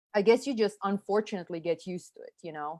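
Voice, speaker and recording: The speaker has a Serbian accent. The sound is dry and close with no echo, against a quiet background. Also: woman. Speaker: marketing consultant, former special forces officer. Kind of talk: interview conversation. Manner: casual, filler-heavy. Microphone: audio delay on call.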